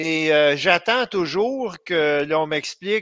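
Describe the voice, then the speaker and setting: A man with a fairly high pitch and a bright, sharp tone speaks at a very slow pace with ordinary pitch variation. The recording is very clean with a silent background and a dry, close sound with no echo. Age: 60s. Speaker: political activist and blogger. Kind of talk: radio interview. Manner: halting, many hesitations.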